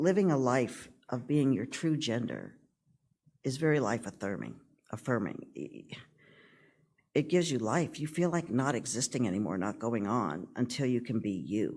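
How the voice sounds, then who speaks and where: With vocal fry and long, frequent pauses, a man speaks at a moderate pace and medium pitch with lively intonation. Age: 60s. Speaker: transgender church member giving homily. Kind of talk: sermon. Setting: church.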